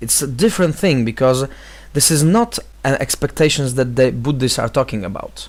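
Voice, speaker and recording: A man speaks with a Polish accent. His pitch is medium, with ordinary pitch variation. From Poland. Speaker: vlogger, vocal trainer and life coach. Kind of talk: video response monologue. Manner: halting, many fillers.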